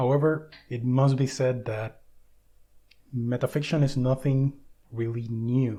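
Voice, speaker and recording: A man with a Spanish accent speaks in a dark, mellow, somewhat breathy tone, with monotone, flat intonation and long, frequent pauses. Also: medium pitch for a man, fairly slow pace. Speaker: book video essayist. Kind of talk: lecture.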